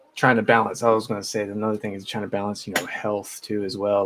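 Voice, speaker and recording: Against noticeable background noise, a man with a fairly low pitch speaks very fast in a monotone, flat intonation. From Florida. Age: 20s. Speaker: rapper. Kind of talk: interview.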